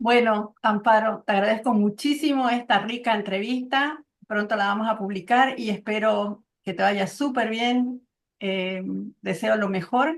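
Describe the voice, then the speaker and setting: Fairly high in pitch and fairly slow, this woman has a plain, everyday voice. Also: ordinary pitch variation. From Santa Cruz, Bolivia. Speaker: interviewer. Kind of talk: interview.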